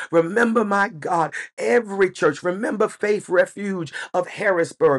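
Against a quiet background, a man with an American accent speaks. His pitch is high and his pace moderate. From United States. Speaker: pastor. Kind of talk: church prayer, spoken aloud to the congregation. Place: home room. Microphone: webcam.

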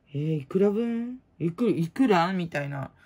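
A woman with a dark, mellow tone speaks at a moderate pace, somewhat breathy and lively in intonation, over a quiet background. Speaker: prize-contest hobbyist vlogger. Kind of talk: casual chat. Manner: rambling, casual. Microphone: phone near.

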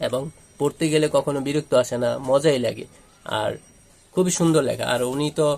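Here a man speaks at a fairly high pitch with fairly even intonation. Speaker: book reviewer. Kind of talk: book review monologue. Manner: halting.

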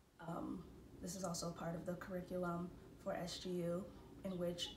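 Noticeable background noise runs through the clip. A woman's speech moves at a moderate pace. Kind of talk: casual vlog chat. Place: home room. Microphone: phone near.

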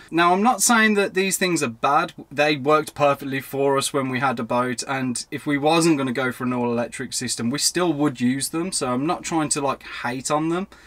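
Here a man talks at a moderate pace with hardly any pauses. His pitch varies in an ordinary way. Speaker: video host. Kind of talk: casual vlog chat. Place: car.

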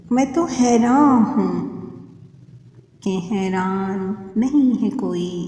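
Noticeable background noise sits behind a woman's voice. She speaks at a fairly high pitch with lively intonation. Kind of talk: poetry reading.

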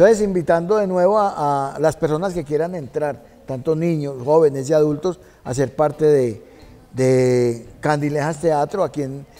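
Moderate pace and ordinary pitch variation from a man. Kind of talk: interview answer. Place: stage. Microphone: lapel.

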